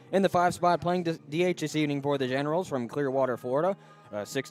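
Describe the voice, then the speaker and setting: A man talking at a very fast pace, fairly high in pitch with ordinary pitch variation, music in the background. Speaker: sports radio broadcaster. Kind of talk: pregame sports broadcast. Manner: formal announcer delivery.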